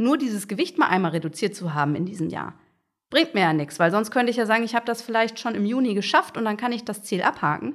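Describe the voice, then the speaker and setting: Her pitch swings very widely as this woman talks at a fairly quick pace. The recording is very clean, with a silent background. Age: 30s. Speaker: agile coach. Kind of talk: interview.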